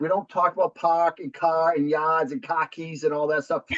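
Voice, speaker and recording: Speaking with a Boston accent, a man uses a high pitch. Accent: thick Boston. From New Hampshire, US Northeast. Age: 40s. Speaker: real estate investor. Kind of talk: podcast interview.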